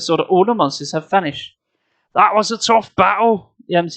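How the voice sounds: The background is silent. A natural reading voice shows ordinary pitch variation.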